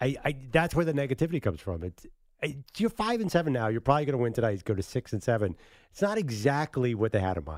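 In a very clean recording with a silent background, a man at medium pitch with an American accent speaks at a very fast pace with very wide pitch swings. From Philadelphia. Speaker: sports radio co-host. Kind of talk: casual sports talk radio.

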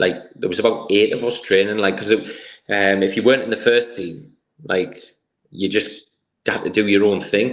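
A man speaks in an ordinary speaking voice, fairly low in pitch, at a moderate pace with fairly even intonation. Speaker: former footballer, football coach. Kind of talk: casual interview.

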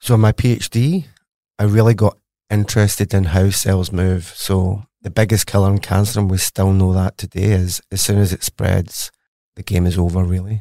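In a Glasgow accent, a man talks at a moderate pace with a fairly low pitch, fairly even intonation and a dark, mellow tone, the sound dry and close with no echo on a very clean recording with a silent background. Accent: Scottish (Glaswegian). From Glasgow, Scotland. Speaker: cancer researcher, professor. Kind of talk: interview, explanatory conversation.

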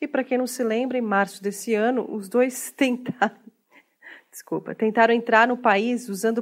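An unremarkable speaking voice, a woman's, comes at a fairly high pitch and moderate pace with fairly even intonation on a very clean recording with a silent background. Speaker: comedy podcast host. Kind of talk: comedic news satire.

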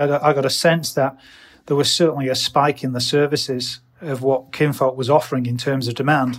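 Music plays in the background as a man with a fairly high pitch speaks. His delivery is monotone and flat, at a moderate pace. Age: 50s. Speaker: hotel manager and mentor. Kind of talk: interview. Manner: halting.

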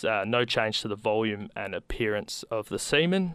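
Against a quiet background, a man with an Australian accent speaks at a moderate pace in a bright, sharp tone, his medium pitch showing ordinary variation. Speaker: community radio host. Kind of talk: radio show hosting.

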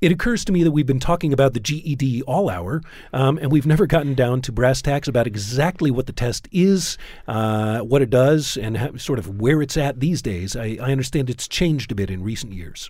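This is a man with an ordinary speaking voice and a medium pitch, talking at a fairly quick pace with lively intonation. The recording is very clean, with a silent background. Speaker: radio host. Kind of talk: radio show hosting and interview. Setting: studio.

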